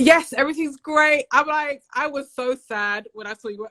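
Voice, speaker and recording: With a British accent, a woman talks in an animated tone, recorded with a dry, close sound and no echo. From UK. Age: 40s. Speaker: podcast host guest. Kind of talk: casual livestream chat.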